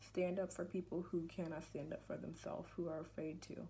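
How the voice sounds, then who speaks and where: A woman's voice comes across as somewhat breathy. Her tone is dark and mellow. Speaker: student giving class speech. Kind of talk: persuasive speech. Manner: halting.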